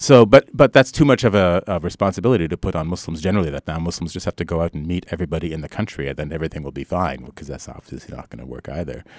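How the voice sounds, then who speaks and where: A man with a very deep, low voice and vocal fry talks very fast with hardly any pauses, his intonation lively and his loudness swinging widely. The recording is very clean, dry and close, with a silent background and no echo. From Canada. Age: middle-aged. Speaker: professor and author. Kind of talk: interview.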